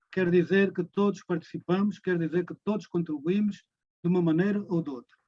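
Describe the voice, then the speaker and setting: The sound is dry and close, with no echo. A man with a high pitch and a dark, mellow tone speaks fairly quickly with fairly even intonation. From Angola, Luanda. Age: 80s+. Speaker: musician and veteran nationalist. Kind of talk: lecture.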